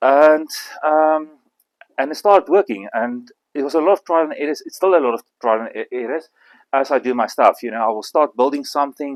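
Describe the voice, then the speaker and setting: A man with an Afrikaans South African accent, fairly high in pitch with ordinary variation, at a fairly quick pace in a dry, close sound free of echo. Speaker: bonsai artist. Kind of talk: demonstration talk. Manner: halting.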